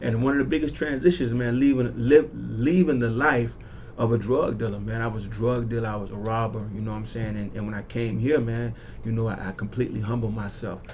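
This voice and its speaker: Speaking fairly quickly with an American accent, a man keeps a medium pitch and ordinary pitch variation. Noticeable background noise and audible room echo are present. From South Florida (Broward County). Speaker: community activist. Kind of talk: radio interview. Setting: radio studio. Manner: casual, animated.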